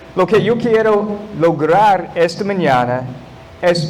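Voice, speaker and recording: Amid noticeable background noise and audible room echo, a man speaks very slowly with ordinary pitch variation. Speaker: guest pastor. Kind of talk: sermon. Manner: halting, non-native Spanish.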